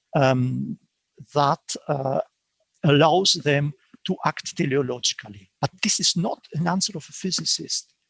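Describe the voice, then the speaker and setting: A man with a non-native accent speaks at a fairly slow pace with long, frequent pauses. His fairly high voice shows ordinary pitch variation, dry and close with no echo. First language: not English. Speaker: philosophy professor. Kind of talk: academic Q&A answer. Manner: halting, many self-corrections.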